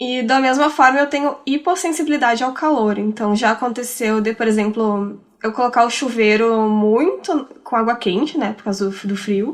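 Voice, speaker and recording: A woman with a plain, everyday voice speaks at a fairly high pitch and a moderate pace. She barely pauses, and her pitch varies in an ordinary way. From Rio Grande do Sul, Brazil. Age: 30s. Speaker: podcaster. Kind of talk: casual chat.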